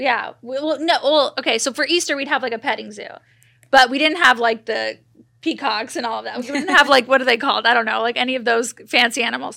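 Raised and projected, a woman's voice comes through high-pitched, bright and sharp at a very fast pace on a very clean recording with a silent background. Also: ordinary pitch variation. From Los Angeles, US. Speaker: podcast host. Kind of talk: casual chat.

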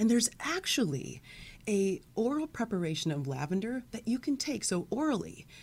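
On a very clean recording with a silent background, a woman talks at a moderate pace in a fairly high, somewhat breathy voice with very wide pitch swings. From US Midwest. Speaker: naturopathic doctor. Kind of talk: interview. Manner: animated.

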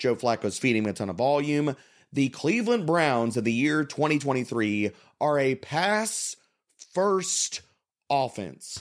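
Animated in tone, a man speaks at medium pitch and a moderate pace with lively intonation. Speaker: fantasy football analyst. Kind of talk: casual sports chat.

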